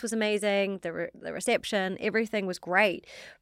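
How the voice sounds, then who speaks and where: With a slight New Zealand accent, a woman speaks at a fairly quick pace and medium pitch, her intonation fairly even, in a very clean recording with a silent background. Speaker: fashion startup founder. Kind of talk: interview.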